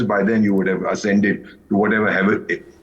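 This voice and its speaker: Audible room echo follows a man speaking in an animated tone. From India. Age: 70s. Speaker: retired intelligence officer, TV news panelist. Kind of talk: heated debate. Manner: halting.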